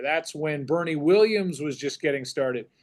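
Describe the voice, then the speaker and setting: With an American accent, a man speaks at a moderate pace in an ordinary speaking voice, fairly high in pitch with ordinary pitch variation. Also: quiet background. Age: 50s. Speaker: sports broadcaster, play-by-play announcer. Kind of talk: podcast interview answer, reflective conversation.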